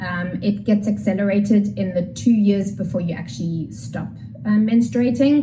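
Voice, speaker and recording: A woman speaks at a moderate pace and medium pitch with lively intonation. There is audible room echo and noticeable background noise. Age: 40s. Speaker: pelvic health physiotherapist. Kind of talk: explanatory interview talk.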